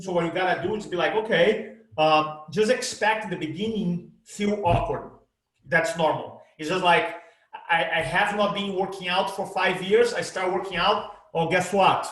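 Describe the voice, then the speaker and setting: A man's high-pitched voice with a Brazilian accent, at a moderate pace, with audible room echo. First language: Portuguese. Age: 50s. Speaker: presentation coach. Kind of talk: interview. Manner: animated.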